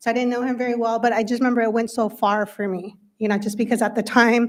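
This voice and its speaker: A woman with a Spanish accent talks very fast at a fairly high pitch, her intonation flat and monotone. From Windsor area, California (US). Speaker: school board member. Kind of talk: speech at a public meeting. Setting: school board meeting.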